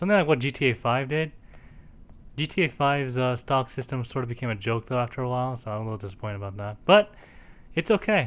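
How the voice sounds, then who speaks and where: A man with a medium-pitched voice talks very fast with lively intonation on a very clean recording with a silent background. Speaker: video game let's play narrator. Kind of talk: casual chat.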